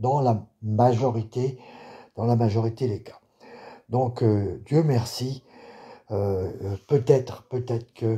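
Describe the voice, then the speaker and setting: The voice is somewhat breathy, with fairly even intonation. The pace is very slow. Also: man. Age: 60s. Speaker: political video blogger. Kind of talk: video monologue. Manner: halting.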